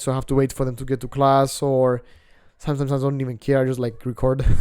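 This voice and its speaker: A very fast-talking man with a Greek accent, a medium pitch and a dark, mellow tone, on a very clean recording with a silent background. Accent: non-native English accent, Greek. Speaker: self-improvement vlogger. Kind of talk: casual vlog monologue. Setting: outdoors on apartment balcony. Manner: casual, filler-heavy, swearing.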